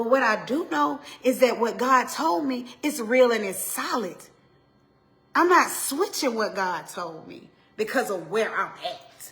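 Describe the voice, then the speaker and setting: Amid audible room echo, a woman with an Atlanta accent speaks fairly slowly at a high pitch. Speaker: pastor's wife, women's ministry speaker. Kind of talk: motivational sermon. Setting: solo to camera, livestream. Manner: stumbles over words.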